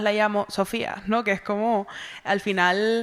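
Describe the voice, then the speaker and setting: A woman with a Canarian accent speaks at a fairly slow pace and a medium pitch. The recording is very clean, with a silent background. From Tenerife, Canary Islands (south, Granadilla de Abona). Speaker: novelist. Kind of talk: literary festival conversation.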